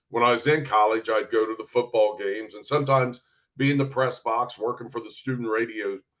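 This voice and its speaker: A man in a southern Ohio accent speaks at a fairly quick pace and medium pitch with fairly even intonation and big swings in loudness. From southern Ohio, US. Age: 60s. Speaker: retired sports reporter and broadcaster. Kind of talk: interview. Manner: laid back.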